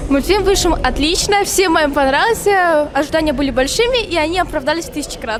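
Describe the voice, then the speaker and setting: With music in the background and audible room echo, a woman talks at a fairly quick pace with hardly any pauses, her pitch extremely high and her intonation lively. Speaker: voice actress. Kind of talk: interview.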